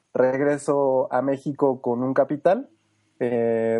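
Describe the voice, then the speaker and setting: A man talks with a dark, mellow tone and fairly even intonation. The background is quiet. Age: 30s. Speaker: food truck park director. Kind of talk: interview.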